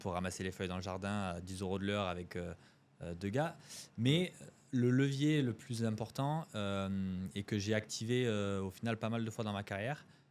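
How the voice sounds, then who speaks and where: Pitched fairly low, a man talks at a moderate speed with ordinary pitch variation. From Marseille, southern France. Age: 30s. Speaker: e-commerce entrepreneur. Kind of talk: podcast interview. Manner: hesitant, many fillers.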